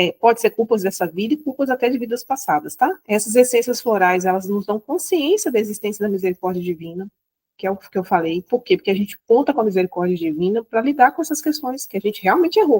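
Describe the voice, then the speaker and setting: A woman talks at a very fast pace with hardly any pauses, her fairly high pitch swinging very widely. The sound is dry and close, with no echo. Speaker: spiritual teacher. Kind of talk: lecture. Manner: halting.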